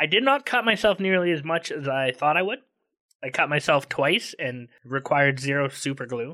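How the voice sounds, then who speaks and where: Against a quiet background, a man with a bright, sharp tone and fairly high pitch talks at a moderate pace with lively intonation. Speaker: podcast host. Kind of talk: casual banter podcast chat. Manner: joking, humorous.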